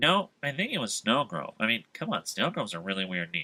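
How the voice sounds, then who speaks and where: This is a put-on character voice with very wide pitch swings. The pace is fairly quick. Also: man, medium pitch for a man. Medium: audio drama. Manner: anxious, whiny.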